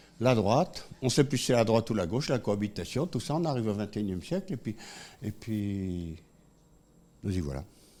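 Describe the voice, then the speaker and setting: A man's fairly low, dark, mellow voice with lively intonation, a fairly quick pace and long, frequent pauses. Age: 70s. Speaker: economist and public speaker. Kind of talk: conference talk. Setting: room with live audience. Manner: animated.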